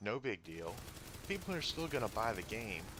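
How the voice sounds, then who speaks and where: A quiet man's voice, medium in pitch, with lively intonation. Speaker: gaming youtuber. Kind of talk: game review voice-over.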